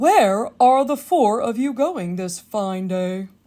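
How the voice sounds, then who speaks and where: Putting on a character voice, a woman speaks at a very slow pace with a fairly high pitch and lively intonation. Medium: read story.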